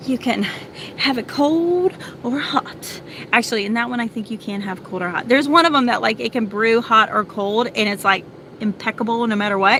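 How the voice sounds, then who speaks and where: Fairly quick and animated, a woman talks at a fairly high pitch with ordinary pitch variation. There is noticeable background noise. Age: 40s. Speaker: vlogger and homeschooling mom. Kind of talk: casual chat. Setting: in a car.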